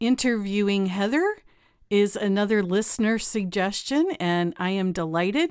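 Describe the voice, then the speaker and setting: A woman's ordinary speaking voice, medium in pitch and fairly slow, on a very clean recording with a silent background. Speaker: podcast host. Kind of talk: podcast intro and interview.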